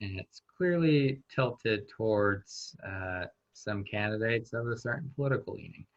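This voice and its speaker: An ordinary speaking voice. The intonation is lively. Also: man. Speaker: workshop presenter. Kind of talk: online workshop discussion.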